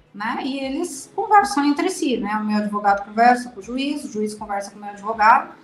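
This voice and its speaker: Her pitch high and her intonation lively, a woman talks at a fairly quick pace with hardly any pauses and big swings in loudness. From Brazil. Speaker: mother of abducted child. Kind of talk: interview testimony.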